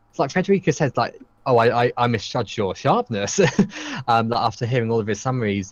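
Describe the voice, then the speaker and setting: A man at medium pitch with a British accent, talking very fast with very wide pitch swings. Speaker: podcast host. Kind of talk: casual chat. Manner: halting, many ums and ahs.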